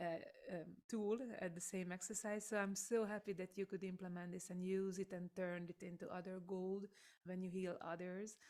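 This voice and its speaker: With a Hungarian accent, a woman speaks at a moderate pace in a medium pitch. Her tone is dark and mellow, and her intonation is monotone and flat. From Hungary. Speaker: voice coach and singer. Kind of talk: interview.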